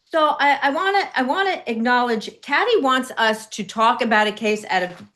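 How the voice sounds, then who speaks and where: A woman's high, bright, sharp voice with a New York accent, at a moderate pace with very wide pitch swings. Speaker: legal commentator. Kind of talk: casual panel discussion.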